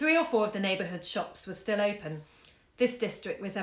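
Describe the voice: Lively intonation in plain reading aloud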